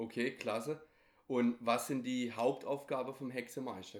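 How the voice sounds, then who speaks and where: This man speaks at a medium pitch and a moderate pace. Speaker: podcast host. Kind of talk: interview.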